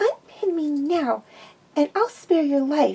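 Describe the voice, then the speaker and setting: Someone does a put-on character voice at a fairly slow pace, with lively intonation and some hissing. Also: woman. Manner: hissing, menacing.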